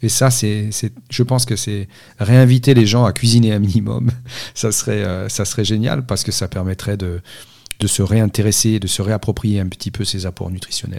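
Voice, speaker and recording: Speaking at a moderate pace, a man with a fairly low pitch and a dark, mellow tone keeps his intonation fairly even. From Corsica. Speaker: nutrition scientist. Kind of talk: interview. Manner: halting.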